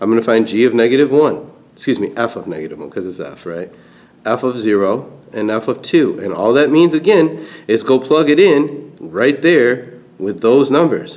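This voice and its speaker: A man speaks at a medium pitch with vocal fry. His intonation is lively, and his loudness swings widely. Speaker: math teacher. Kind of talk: tutorial. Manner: fast.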